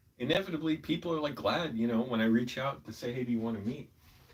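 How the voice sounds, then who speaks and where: Talking at a very fast pace, a man with an American accent uses lively intonation and a somewhat breathy voice of medium pitch. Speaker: vlogger and screenwriter. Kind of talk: casual live vlog monologue. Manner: rambling, conversational.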